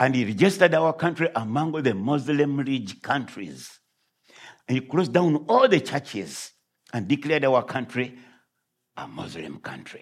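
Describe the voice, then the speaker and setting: Lively intonation marks this man's fairly high voice, which carries vocal fry. He keeps a moderate pace with big swings in loudness. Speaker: visiting pastor and missionary. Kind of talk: sermon. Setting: church.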